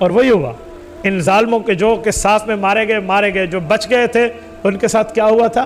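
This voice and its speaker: Music plays in the background as a man speaks at a high pitch with ordinary pitch variation. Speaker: Islamic scholar giving a sermon. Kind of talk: emotional religious sermon (bayan) narrating a historical story.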